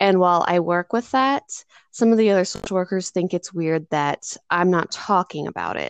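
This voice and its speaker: With an American accent, a woman with a plain, everyday voice talks at a moderate pace and medium pitch with ordinary pitch variation, her sound dry and close with no echo over a quiet background. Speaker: podcast host, social worker. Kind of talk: interview conversation.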